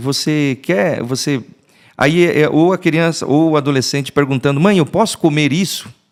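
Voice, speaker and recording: A man with a fairly high pitch at a fairly slow pace, in a very clean recording with a silent background. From southern Brazil, Rio Grande do Sul, small town. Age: 40s. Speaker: pastor. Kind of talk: podcast interview. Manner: halting, many false starts.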